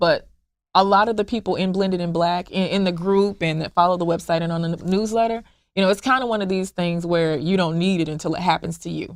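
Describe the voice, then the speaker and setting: On a very clean recording with a silent background, a woman with an American accent talks at a very fast pace, her medium pitch kept in a fairly even intonation. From US South, Memphis Tennessee. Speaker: founder of a blended-family support group. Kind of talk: interview. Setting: podcast interview. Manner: halting, with repetitions.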